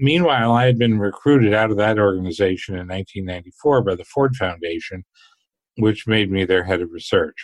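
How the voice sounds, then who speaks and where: A man talks at a moderate pace in an ordinary speaking voice, his pitch fairly low. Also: ordinary pitch variation. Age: 60s. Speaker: finance researcher and author. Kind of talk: interview.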